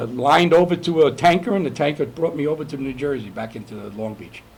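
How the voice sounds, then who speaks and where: A man with a New York accent talks at a fairly quick pace. His pitch is fairly high, with ordinary variation. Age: 70s. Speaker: navy veteran. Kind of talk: oral history interview. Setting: on board a museum ship. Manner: halting.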